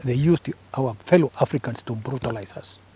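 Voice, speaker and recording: In a dry, close recording with no echo, a man of medium pitch speaks at a moderate pace, somewhat breathy and dark and mellow in tone, with ordinary pitch variation. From Kenya, Embu. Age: 70s. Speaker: retired government press officer and author. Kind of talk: interview.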